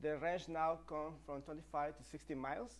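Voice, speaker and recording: A man speaking at a very slow pace. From Mexico. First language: Spanish. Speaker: e-bike company partner and presenter; presenter. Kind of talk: live stream product presentation. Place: studio.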